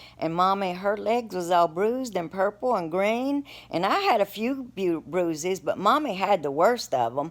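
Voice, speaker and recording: In an Appalachian accent, a woman of medium pitch talks at a moderate pace, her voice swinging very widely in pitch. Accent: Appalachian Southern US. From Appalachian Virginia, US. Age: 60s. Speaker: storyteller. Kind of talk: personal storytelling. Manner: casual, halting with repeats.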